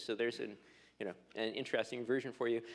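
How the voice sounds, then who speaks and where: With a strong Canadian accent, a man speaks at a medium pitch. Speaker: telecom regulator. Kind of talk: conference panel talk.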